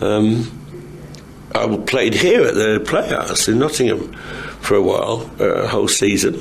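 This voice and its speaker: A man speaks over noticeable background noise. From England. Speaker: actor. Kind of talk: interview answer.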